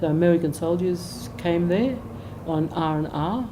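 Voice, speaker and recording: Amid audible room echo, a woman talks in a very deep, low pitch with ordinary pitch variation. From Australia, Gold Coast, Queensland. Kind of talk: biographical interview. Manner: halting, many fillers.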